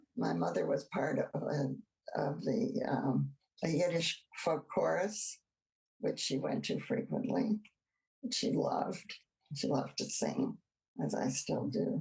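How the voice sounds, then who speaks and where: A woman with an American accent speaks at a fairly slow pace with long, frequent pauses, her fairly low pitch showing vocal fry and very wide swings while her loudness stays very even. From US Midwest, Cleveland, Ohio. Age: 80s+. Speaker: oral history interviewee. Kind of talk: oral history interview. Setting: video call.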